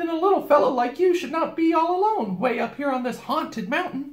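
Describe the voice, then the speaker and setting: A man puts on a character voice at an extremely high pitch, moving at a fairly quick pace. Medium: read story. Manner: bossy, chatty, nonstop talker.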